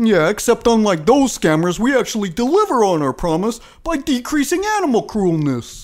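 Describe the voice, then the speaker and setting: At an extremely high pitch, a man talks at a moderate pace with hardly any pauses. His pitch swings very widely. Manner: brash, crude, cheerfully dumb.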